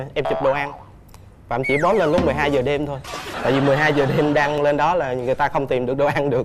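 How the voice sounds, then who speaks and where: A man with fairly high pitch and monotone, flat intonation at a very fast pace, with audible room echo and music in the background. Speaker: dating show contestant. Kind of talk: casual chat. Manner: talkative.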